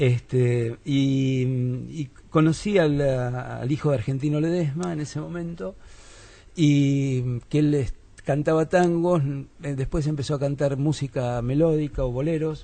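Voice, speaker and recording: A man speaks at a fairly slow pace, somewhat breathy. His fairly high voice has a dark, mellow tone. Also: ordinary pitch variation. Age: 50s. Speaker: philosopher and musician. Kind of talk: radio interview.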